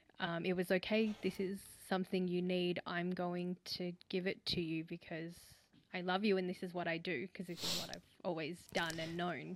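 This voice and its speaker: Someone with an Australian accent speaks at a moderate pace in a monotone, flat intonation. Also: woman, fairly low pitch for a woman. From Australia, Vietnamese background. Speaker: caller. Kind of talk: call-in question.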